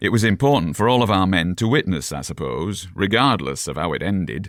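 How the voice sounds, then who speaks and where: In a very clean recording with a silent background, a man does a gruff put-on character voice with a very deep, low pitch, very wide pitch swings and a fairly quick pace. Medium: read story.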